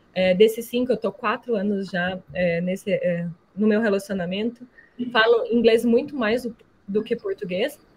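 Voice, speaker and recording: A woman's somewhat breathy voice sits at a fairly high pitch. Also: ordinary pitch variation, moderate pace. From Brazil. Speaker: alumna, environmental professional. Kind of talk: online talk to students. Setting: video call.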